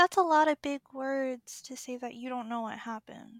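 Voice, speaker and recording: A female-sounding put-on character voice speaks at a high pitch and a moderate pace. The recording is very clean, with a silent background. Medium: actual play. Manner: naive, blunt, puzzled.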